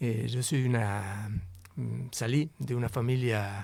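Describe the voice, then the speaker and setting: A man speaks at a very slow pace in a medium pitch, with fairly even intonation. The recording is very clean, with a silent background. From Argentina, La Plata. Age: 60s. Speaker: interview guest. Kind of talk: interview conversation.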